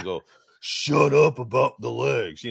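A man puts on a character voice. It comes out raspy and gruff. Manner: exaggerated masculine, gruff.

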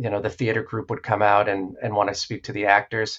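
A man with an American accent, a normal speaking voice, fairly low pitch, and a fairly quick pace. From New Hampshire, US. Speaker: therapist and former stage performer. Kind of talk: interview.

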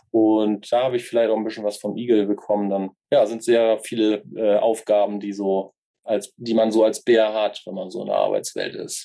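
A man speaks at a moderate pace in a dark, mellow tone. His intonation is monotone and flat. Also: medium pitch for a man. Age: 30s. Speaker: youth work educator. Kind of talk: interview. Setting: video call.

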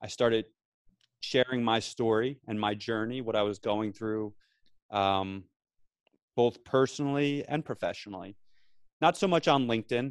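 With a New Jersey accent, a man talks at a moderate pace and medium pitch. His pitch variation is ordinary, and he takes long, frequent pauses. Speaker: veteran and podcaster. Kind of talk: casual chat. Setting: remote call from office.

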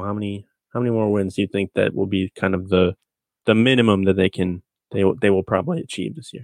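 A plain, everyday voice from a man at a fairly quick pace, dry and close with no echo, over a quiet background. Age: 30s. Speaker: sports podcast host and site editor. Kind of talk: casual sports chat.

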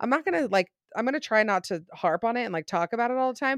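A woman speaks with an American accent, her pitch swinging very widely. The recording is very clean and dry, close with no echo and a silent background. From Utah. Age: 20s. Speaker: social media content creator. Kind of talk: casual chat.

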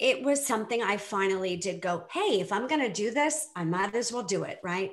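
A woman with an American accent speaks at a moderate pace in a fairly high voice, an unremarkable speaking voice. Her intonation is lively. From US Northeast, Boston area. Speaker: divorce coach. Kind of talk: casual interview chat.

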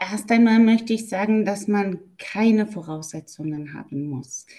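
Her voice is somewhat breathy with a dark, mellow tone. This woman speaks at a fairly high pitch. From Germany. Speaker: German language teacher. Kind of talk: interview.

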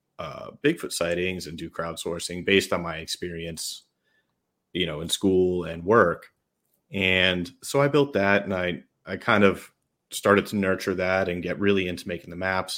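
On a very clean recording with a silent background, a man with a very deep, low pitch speaks at a moderate pace, his loudness swinging widely amid ordinary pitch variation. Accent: New York. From New York State. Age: 30s. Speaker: Bigfoot researcher and app project leader. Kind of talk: casual interview chat.

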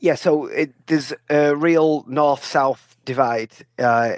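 The sound is dry and close, with no echo. A man with a northern English accent speaks at a very slow pace, his pitch varying in an ordinary way. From northern England. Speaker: author. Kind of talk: interview. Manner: halting.

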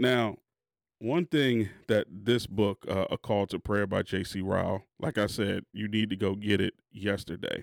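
In a very clean recording with a silent background, a man uses a normal speaking voice at a fairly low pitch with ordinary variation. He speaks fairly slowly, with a dry, close sound with no echo. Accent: American. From Maryland, Prince George's County. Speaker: podcast host. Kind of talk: casual chat.

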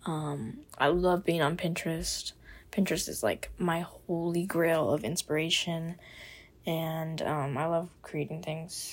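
An ordinary speaking voice with an American accent talks at a fairly slow pace. Its pitch varies in an ordinary way. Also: woman, fairly low pitch for a woman. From US South, Miami, Florida. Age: 20s. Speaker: podcast host, college student. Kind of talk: casual monologue. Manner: casual, filler-heavy.

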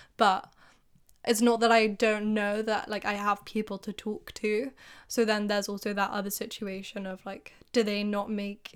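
In a very clean recording with a silent background, someone speaks at a fairly slow pace with monotone, flat intonation. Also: woman. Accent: English. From England. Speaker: podcast co-host. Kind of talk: casual chat.

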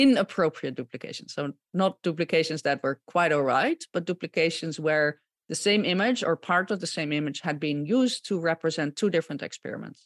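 Speaking at a fairly quick pace with lively intonation, a woman with a Dutch accent has a fairly low pitch, captured in a dry, close sound with no echo. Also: very clean recording, silent background. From Netherlands (Gouda). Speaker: microbiologist and image fraud consultant. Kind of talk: podcast interview.

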